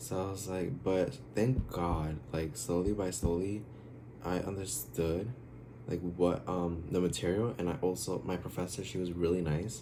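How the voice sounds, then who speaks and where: With an American accent, a man speaks at a very deep, low pitch in a dark, mellow tone with vocal fry and ordinary pitch variation, and audible room echo surrounds his voice. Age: 20s. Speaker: YouTuber, college student. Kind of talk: casual vlog Q&A. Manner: hesitant, many fillers.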